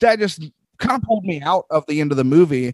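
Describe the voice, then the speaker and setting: In a dry, close sound with no echo, a man uses a plain, everyday voice, fairly high in pitch, with lively intonation. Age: 30s. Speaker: film podcaster. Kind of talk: casual chat.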